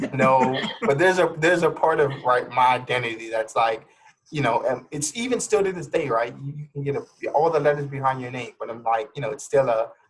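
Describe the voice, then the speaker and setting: Fairly quick and somewhat breathy, a man talks with a fairly high pitch and ordinary pitch variation. His loudness swings widely. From Louisiana (Lafayette). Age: 30s. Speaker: clinical therapist. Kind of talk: casual interview chat. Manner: hesitant, many fillers.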